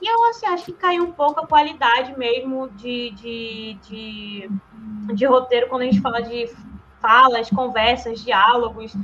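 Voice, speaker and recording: Over noticeable background noise, a woman talks at a fairly slow pace in a high voice, her loudness swinging widely. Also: ordinary pitch variation. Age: 20s. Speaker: podcast guest, film commentator. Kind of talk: casual chat.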